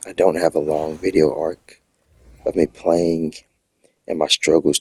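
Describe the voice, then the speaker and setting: The voice moves at a very slow pace, with a dry, close sound and no echo. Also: man. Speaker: gamer. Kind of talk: casual talk to camera.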